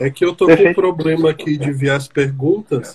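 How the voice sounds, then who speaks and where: With an ordinary speaking voice, a man talks at a fairly quick pace in a fairly high pitch with lively intonation. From Brazil, Brasília. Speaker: podcast host, psychologist. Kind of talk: casual discussion.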